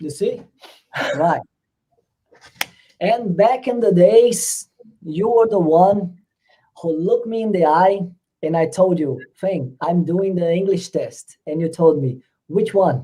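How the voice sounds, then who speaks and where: Long pauses come often. The delivery is very slow overall. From Brazil. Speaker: youtuber, English test coach. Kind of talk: live stream interview.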